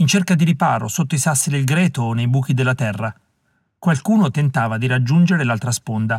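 Someone is doing a plain reading aloud against a quiet background.

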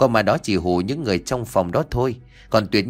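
The text is read aloud in a natural voice.

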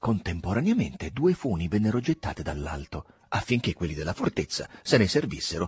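The speaker reads in an unforced reading voice. The delivery stays easy and unpushed.

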